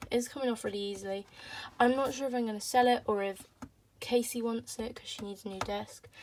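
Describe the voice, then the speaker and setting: Over noticeable background noise, a woman with an English accent speaks at a fairly quick pace with fairly even intonation. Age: 20s. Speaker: vlogger. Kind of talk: casual vlog talk. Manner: hesitant, lots of ums.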